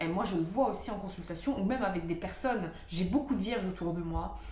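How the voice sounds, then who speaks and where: A woman speaks with lively intonation. Noticeable background noise and audible room echo surround her. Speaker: astrologer. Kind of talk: talking-head video monologue. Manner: hesitant, many fillers.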